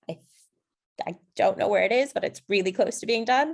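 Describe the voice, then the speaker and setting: American-accented female voice. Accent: very American. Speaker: AI policy panelist. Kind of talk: webinar panel discussion.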